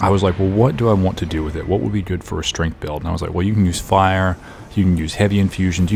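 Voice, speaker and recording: A man speaks quietly and very fast in a very deep, low voice with fairly even intonation, music playing in the background. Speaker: gaming youtuber. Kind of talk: casual commentary. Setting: home recording setup. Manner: quiet, subdued.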